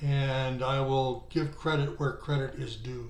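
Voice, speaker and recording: A man speaks very slowly in a somewhat breathy, fairly high voice. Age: 70s. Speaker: bridge player. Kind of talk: casual talk to camera.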